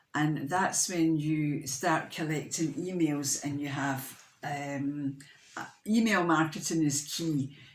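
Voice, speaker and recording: The speech comes at a very slow pace with fairly even intonation. Audible room echo is present. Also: woman, very deep, low pitch for a woman. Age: 60s. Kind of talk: casual vlog talk. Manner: halting, many fillers and restarts.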